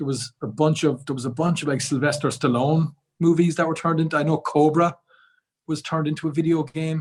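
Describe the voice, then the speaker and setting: A man talks at a very fast pace in a fairly high pitch. His intonation is monotone and flat. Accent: Irish. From Ireland. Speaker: podcast guest. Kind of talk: casual chat.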